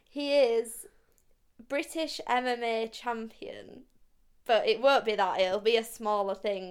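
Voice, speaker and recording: Speaking very slowly with long, frequent pauses, a woman with a Yorkshire accent uses a fairly high pitch and lively intonation on a very clean recording with a silent background. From South Yorkshire, Barnsley. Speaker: podcast co-host. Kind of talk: casual chat.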